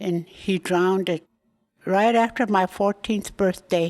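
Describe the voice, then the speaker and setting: In a very clean recording with a silent background, a woman speaks at a medium pitch with fairly even intonation. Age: 80s+. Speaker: elder interviewee. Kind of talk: personal storytelling interview. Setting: elder care home.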